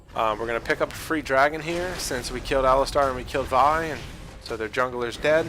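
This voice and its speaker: A man speaks at a medium pitch with fairly even intonation while music plays in the background. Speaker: gaming video commentator. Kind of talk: gameplay commentary tutorial. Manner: fast; casual, filler-heavy.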